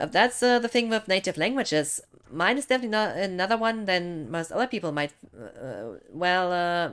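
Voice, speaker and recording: With a German accent, a woman talks at a moderate pace and a medium pitch, her pitch swinging very widely. The recording is very clean, with a silent background. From Germany. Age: 30s. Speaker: gaming streamer. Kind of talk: casual live stream chat. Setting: live stream.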